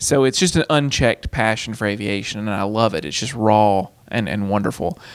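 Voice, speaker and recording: Speaking fairly quickly, a man with a fairly low voice and ordinary pitch variation has an unremarkable speaking voice. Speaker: aviation college instructor. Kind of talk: casual interview chat.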